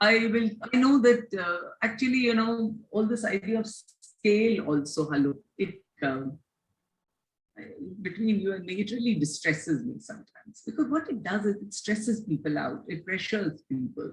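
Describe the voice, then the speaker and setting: Somewhat breathy and at medium pitch, a woman talks at a moderate pace with lively intonation. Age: 60s. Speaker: education reformer. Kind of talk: interview.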